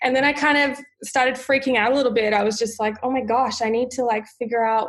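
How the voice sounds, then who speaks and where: A woman talks at a fairly quick pace, her intonation fairly even, while noticeable background noise sits behind her. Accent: Australian. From Australia, Sydney. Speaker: wellness guest. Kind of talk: casual interview.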